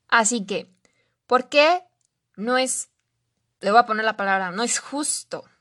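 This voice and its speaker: Bright and sharp in tone, the voice carries a Mexican accent and lively intonation at a fairly slow pace, with a dry, close sound, no echo and a quiet background. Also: woman. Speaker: life coach. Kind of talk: solo podcast monologue.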